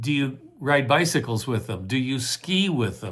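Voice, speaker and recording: The man's voice is somewhat breathy and sits at a medium pitch. He speaks at a fairly slow pace. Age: old. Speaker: motivational speaker. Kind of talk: casual talk to camera.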